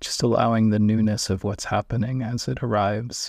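There is a man with an unremarkable speaking voice, fairly low in pitch. His intonation is fairly even, and the recording is very clean with a silent background. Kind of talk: guided meditation. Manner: slow, calm, soft-spoken with long pauses; gentle, soothing, instructional.

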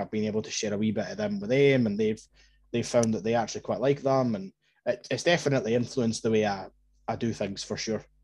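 A man with an Edinburgh accent speaks at a very fast pace and medium pitch. His intonation is fairly even, and the background is quiet. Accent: Edinburgh Scottish. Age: 20s. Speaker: football podcaster. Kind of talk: personal story in casual chat.

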